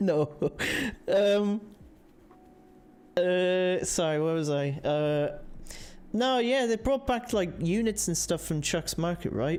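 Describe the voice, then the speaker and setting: Long, frequent pauses mark this very slow delivery in an Irish accent. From Ireland. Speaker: livestream host. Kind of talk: casual chat. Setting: livestream. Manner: halting.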